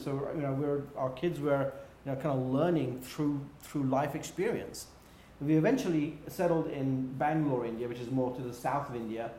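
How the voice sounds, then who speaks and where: Someone with a British accent talks at a fairly quick pace with ordinary pitch variation, amid audible room echo and noticeable background noise. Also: man. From England. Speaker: business executive. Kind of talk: interview. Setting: livestream.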